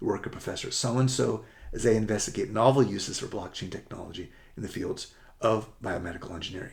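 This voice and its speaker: With an American accent, a man talks at a very fast pace in a medium pitch, somewhat breathy, with ordinary pitch variation. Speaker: college admissions essay coach. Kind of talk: presentation to parents. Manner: rushed, fast.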